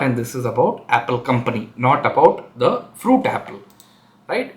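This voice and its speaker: A man at a moderate pace with lively intonation. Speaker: tech educator / channel host. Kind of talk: tutorial. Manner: hesitant, many fillers.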